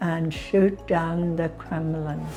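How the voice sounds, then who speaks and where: A woman speaks with music in the background. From Canada, northern Alberta. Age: 90. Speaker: interviewee telling her life story. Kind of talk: testimony interview.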